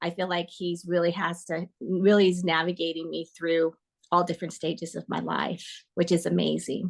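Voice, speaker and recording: A woman with an American accent speaks at a moderate pace, fairly low pitched with vocal fry. Her intonation is monotone and flat. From US West Coast, Northern California Bay Area. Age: 60s. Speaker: coaching client. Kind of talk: testimony interview. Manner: halting, many fillers.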